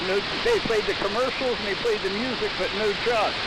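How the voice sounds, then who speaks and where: A man speaks at a fairly quick pace with ordinary pitch variation, amid audible room echo and noticeable background noise. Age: 70s. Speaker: amateur radio operator, former radio DJ. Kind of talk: casual chat.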